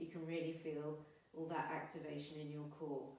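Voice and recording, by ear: A put-on character voice, strained and flat in a monotone, at middle pitch and moderate pace, with audible echo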